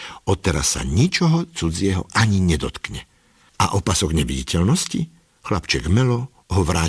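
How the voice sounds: The speaker uses a natural reading voice.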